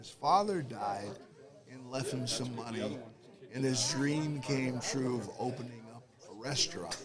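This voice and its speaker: Speaking at a fairly slow pace with ordinary pitch variation, a man with an American accent talks at a medium pitch amid noticeable background noise and audible room echo. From Detroit, Michigan, US. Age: 80s+. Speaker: war veteran. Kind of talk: interview.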